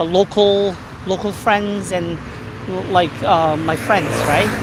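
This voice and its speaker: Noticeable background noise sits behind a woman with a Korean accent. She talks at a fairly slow pace and medium pitch with fairly even intonation. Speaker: YouTuber. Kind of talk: casual live-stream chat. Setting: outdoors walking. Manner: halting, many fillers.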